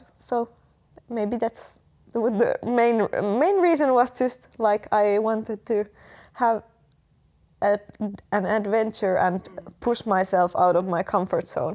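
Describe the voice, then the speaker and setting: Speaking very slowly with long, frequent pauses, a woman with a Finnish accent has a fairly high-pitched voice. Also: ordinary pitch variation. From Finland. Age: 20s. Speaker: exchange student. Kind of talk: casual interview. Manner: halting, many fillers.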